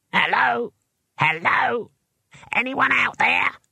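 A put-on character voice, fairly high and squeaky, at a very slow pace

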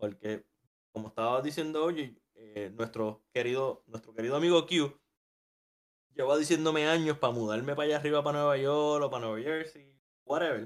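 A man at a moderate pace, pitched fairly high, with ordinary pitch variation and an ordinary speaking voice. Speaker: podcast co-host. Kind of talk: casual chat.

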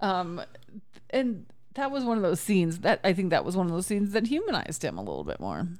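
Her intonation is lively and her pace very fast. The woman speaks at a medium pitch. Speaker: movie podcast host. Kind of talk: casual chat.

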